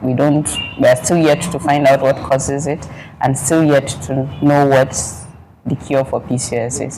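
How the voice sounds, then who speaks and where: A woman with a very deep, low voice speaks at a moderate pace in a monotone, flat delivery, with long, frequent pauses and noticeable background noise. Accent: northern Nigerian. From northern Nigeria, Zaria. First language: Fulani. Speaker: pharmacist. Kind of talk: interview.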